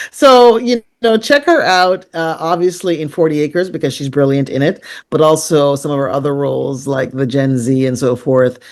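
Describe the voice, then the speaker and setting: A speaker with a Canadian accent talks at a moderate pace with lively intonation. The recording is very clean, with a silent background. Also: woman, very deep, low pitch for a woman. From Caribbean, raised in Canada from age five. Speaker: film producer. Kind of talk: interview.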